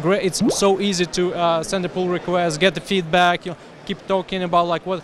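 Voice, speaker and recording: A man speaks in a high pitch, the sound dry with no echo and some light background noise. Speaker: interviewee. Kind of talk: interview answer. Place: hall. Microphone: handheld.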